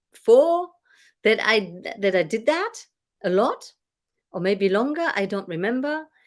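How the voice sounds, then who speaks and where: A very slow pace and lively intonation in a German accent. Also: woman. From Germany. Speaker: business coach and former singer. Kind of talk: casual chat. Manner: animated.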